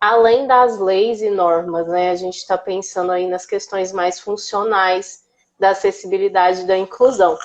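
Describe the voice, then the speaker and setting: Her pace is fairly slow. The woman's pitch shifts in an ordinary way. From Brazil, Minas Gerais (Uberlândia). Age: 20s. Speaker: accessibility speaker, former history teacher. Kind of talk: casual interview on live stream. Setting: Instagram live video call.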